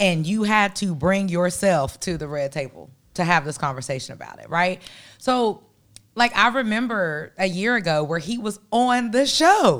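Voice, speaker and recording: In a very clean recording with a silent background, a woman speaks in an animated tone at a moderate pace, with very wide pitch swings and big swings in loudness. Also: medium pitch for a woman. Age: 30s. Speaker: podcast co-host. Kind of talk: casual chat. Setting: studio.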